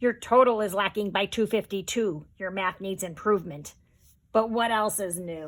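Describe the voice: Here is plain reading aloud. Each line is read straight through.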